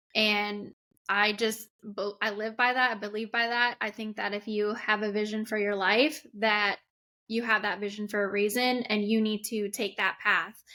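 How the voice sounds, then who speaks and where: A woman speaks at a moderate pace in a fairly high voice. Her tone is bright and sharp. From Canada, Winnipeg. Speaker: race car driver. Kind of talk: interview.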